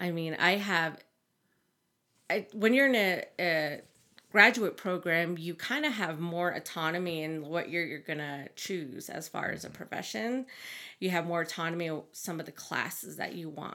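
On a very clean recording with a silent background, a woman with a bright, sharp tone speaks at a moderate pace with ordinary pitch variation. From Navajo Nation, northern Arizona. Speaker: Navajo graduate student and researcher. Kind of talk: interview conversation.

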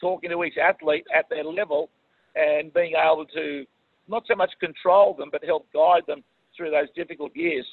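With an Australian accent, a high-pitched man talks at a moderate pace with ordinary pitch variation. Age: 50s. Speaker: swim coach. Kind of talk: interview.

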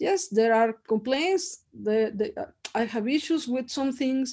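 A woman's dark, mellow voice in a strong Mexican accent, at a fairly slow pace against a quiet background. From Mexico. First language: Spanish. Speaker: professor. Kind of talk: interview.

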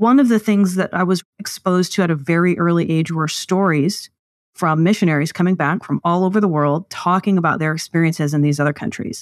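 A woman with an American accent speaks in a plain, everyday voice at a fairly quick pace, with ordinary pitch variation, very even loudness, and a dry, close sound with no echo. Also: fairly low pitch for a woman. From US South, East Texas. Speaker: political party leader. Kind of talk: interview.

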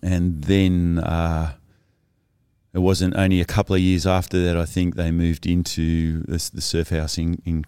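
The voice has an Australian accent, a dark, mellow tone and a flat, monotone delivery at a moderate pace. The recording is very clean with a silent background. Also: man. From Cornwall, England, raised in Sydney from childhood. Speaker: surf ministry leader. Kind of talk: casual interview. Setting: studio video podcast.

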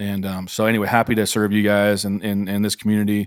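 A man at a very fast pace, fairly low-pitched, in a very clean recording with a silent background. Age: 40s. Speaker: director of a retreat ministry for leaders. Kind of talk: casual interview chat. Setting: in person in the room with one host. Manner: animated.

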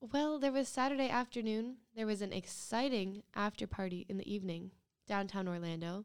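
A plain, everyday voice with an American accent moves at a fairly quick pace. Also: woman, medium pitch for a woman, ordinary pitch variation. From US Northeast, Rhode Island. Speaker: podcast co-host. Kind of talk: casual chat.

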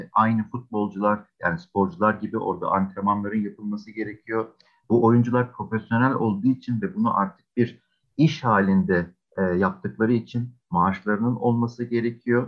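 A man speaks in an unremarkable speaking voice at a medium pitch and a moderate pace. His pitch varies in an ordinary way. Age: 40s. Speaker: games and esports agency executive. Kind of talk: interview.

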